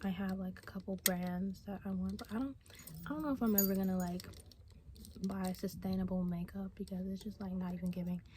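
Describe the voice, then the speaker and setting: The whispering moves along at a fairly quick pace. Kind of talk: casual ASMR talk to camera. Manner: whispered.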